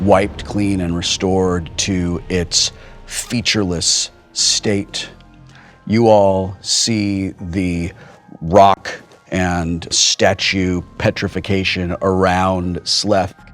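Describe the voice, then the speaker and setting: With music in the background, a man talks very slowly in a very deep, low pitch and a flat, monotone delivery. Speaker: game master running a tabletop role-playing game. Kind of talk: tabletop RPG game master narration of scene. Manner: descriptive scene narration, slow pacing with pauses.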